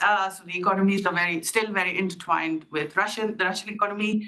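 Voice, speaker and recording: A woman with ordinary pitch variation talks fairly quickly while noticeable background noise plays behind her. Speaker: academic researcher. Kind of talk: conference talk. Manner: fast; loud.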